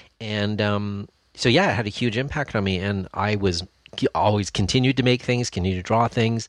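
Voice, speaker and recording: A man in a plain, everyday voice speaks at a fairly quick pace and fairly low pitch with fairly even intonation. The sound is dry and close with no echo, and the background is quiet. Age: 50s. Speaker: costume prop maker and YouTuber. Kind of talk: casual chat.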